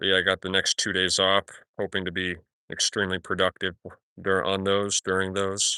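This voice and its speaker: A man with a very deep, low pitch and a bright, sharp tone speaks at a fairly quick pace in monotone, flat intonation, with a dry, close sound with no echo and a quiet background. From New Mexico, Albuquerque. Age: 20s. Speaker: livestreamer. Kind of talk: casual chat. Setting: outdoors, backyard. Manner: casual, halting.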